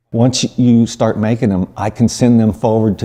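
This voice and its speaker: A man's speech comes through with background noise clearly audible. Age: 60s. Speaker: photographer. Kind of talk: interview answer. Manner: hesitant, many fillers.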